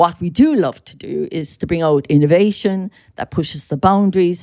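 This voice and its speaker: A woman speaks with an Irish accent. Her pace is moderate. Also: dry, close sound with no echo. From Ireland. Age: 60s. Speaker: skincare brand co-founder. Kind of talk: podcast interview. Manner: animated.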